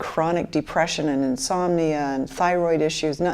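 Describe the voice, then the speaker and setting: This woman has an American accent and a fairly low pitch. Her tone is dark and mellow, and she keeps a moderate pace. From Michigan, US (Grand Rapids). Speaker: interviewee, fluoride-affected person. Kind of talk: documentary interview, personal testimony.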